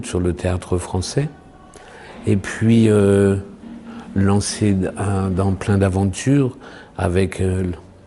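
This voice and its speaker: At a very slow pace with long, frequent pauses, a man with a fairly low pitch speaks with fairly even intonation and very even loudness, over noticeable background noise. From French provinces. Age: 60s. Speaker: actor and poet. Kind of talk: interview. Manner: halting.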